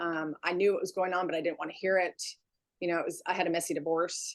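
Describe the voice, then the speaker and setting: With an American accent, a woman speaks at a fairly low pitch with fairly even intonation. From California. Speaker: spray tanning business owner. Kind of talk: interview. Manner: halting.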